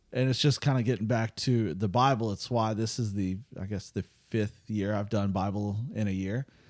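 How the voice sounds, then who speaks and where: A plain, everyday voice from a man with an American accent, fairly low pitch, fairly even intonation and a moderate pace with hardly any pauses, on a very clean recording with a silent background. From US South. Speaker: podcast host. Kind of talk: casual chat.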